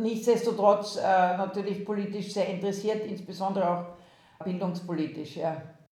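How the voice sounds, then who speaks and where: Somewhat breathy and dark, mellow in tone, a woman talks at a moderate pace and medium pitch with monotone, flat intonation, big swings in loudness and audible room echo. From Austria. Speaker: university president. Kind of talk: interview. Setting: video call.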